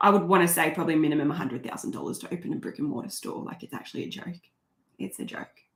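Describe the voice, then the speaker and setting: A woman with an Australian accent speaks very fast in a fairly low voice with vocal fry. Her tone is animated, her intonation lively, and her loudness swings widely. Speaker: crochet YouTuber. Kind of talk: live stream chat reading comments. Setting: home live stream.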